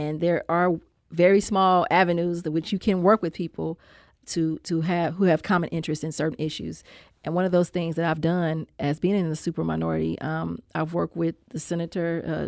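In a very clean recording with a silent background, a woman with an American accent speaks at a moderate pace in a fairly low pitch and a monotone, flat intonation. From Saint Louis, Missouri. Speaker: state legislator. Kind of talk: interview about politics. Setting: studio.

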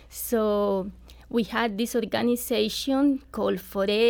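A Colombian accent with fairly even intonation, in a very clean recording with a silent background. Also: woman. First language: Spanish. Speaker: nonprofit volunteer. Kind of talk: radio interview. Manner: halting.

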